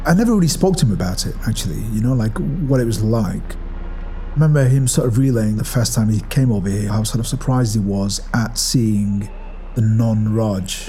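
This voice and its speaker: Music plays in the background, and there is audible room echo. The speech comes at a moderate pace in a Manchester accent, with ordinary pitch variation. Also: man, medium pitch for a man. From northern England, Ashton-under-Lyne, Greater Manchester. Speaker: arts director. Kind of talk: personal testimony. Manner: reflective, conversational.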